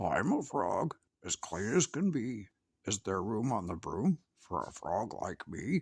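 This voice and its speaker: Putting on a croaky character voice, a man speaks fairly slowly at a fairly low pitch. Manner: polite.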